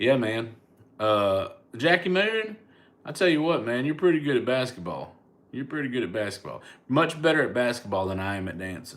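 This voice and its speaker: The speaker is a man with a slight Southern US accent and a medium pitch. His pitch swings very widely at a moderate pace. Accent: Southern American, mild. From US South, Mobile, Alabama. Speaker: comedian. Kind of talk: casual chat. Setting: livestream. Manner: casual, stammering repetitions.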